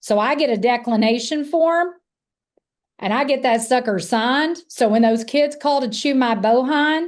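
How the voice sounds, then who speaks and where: In an American accent, a woman with a high pitch talks at a moderate pace with lively intonation and an animated tone against a quiet background. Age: 60s. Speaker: sales trainer / insurance agency coach. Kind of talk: live virtual training. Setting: live virtual event.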